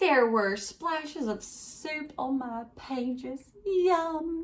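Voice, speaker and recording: A woman puts on a character voice at a high pitch and speaks at a very slow pace. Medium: read story.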